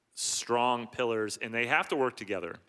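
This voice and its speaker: Medium pitch and fairly even intonation from a man with an unremarkable speaking voice. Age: 40s. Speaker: pastor. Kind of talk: church service interview.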